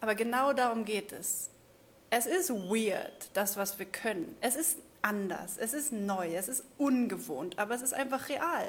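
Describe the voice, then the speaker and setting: A woman's fairly high, somewhat breathy voice, animated in tone with lively intonation, at a fairly slow pace. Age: 30s. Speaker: spiritual coach. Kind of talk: livestream monologue.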